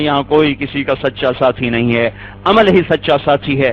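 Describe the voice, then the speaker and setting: A man speaks with ordinary pitch variation. Noticeable background noise runs under his voice. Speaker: Islamic scholar preacher. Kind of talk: Islamic sermon (bayaan).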